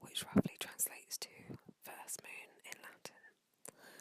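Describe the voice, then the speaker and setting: A woman is whispering. Her pace is very slow. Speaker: ASMR creator. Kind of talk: ASMR whispered fact reading. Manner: whispered, slow, reading aloud.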